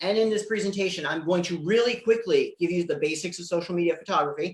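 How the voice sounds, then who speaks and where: A woman's voice with ordinary pitch variation. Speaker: social media presenter. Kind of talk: presentation. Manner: fast.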